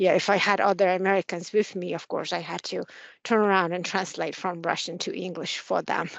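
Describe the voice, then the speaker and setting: A woman speaks at a fairly quick pace. Her voice carries vocal fry. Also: medium pitch for a woman. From Mongolia. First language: Mongolian. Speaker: military officer. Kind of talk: interview. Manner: halting, many fillers.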